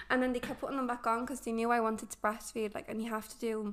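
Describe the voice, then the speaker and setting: A woman with an Irish accent speaks at a fairly high pitch. Her intonation is monotone and flat. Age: 20s. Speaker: young mother. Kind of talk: casual chat. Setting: apartment.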